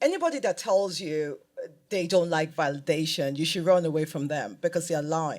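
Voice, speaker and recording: A woman talks with a fairly low voice, moving at a moderate pace and varying her pitch in an ordinary way. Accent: Nigerian. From Nigeria. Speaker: fashion designer. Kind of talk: live panel interview. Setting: stage with audience.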